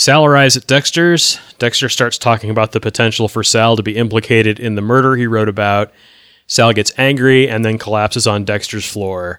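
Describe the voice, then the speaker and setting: Using a normal speaking voice, a man speaks at a fairly quick pace with medium pitch and fairly even intonation. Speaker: podcast host. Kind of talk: casual podcast chat discussing a TV episode.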